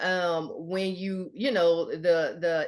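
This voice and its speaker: With a Southern US accent, the speaker talks against a quiet background. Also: woman. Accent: Southern US (Georgia). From US South, Georgia. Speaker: author and Air Force veteran. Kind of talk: interview.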